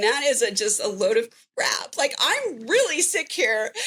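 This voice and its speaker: Animated and high-pitched, a woman speaks with very wide pitch swings and a bright, sharp tone. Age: 60s. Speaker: recovered patient sharing story. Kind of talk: interview testimony.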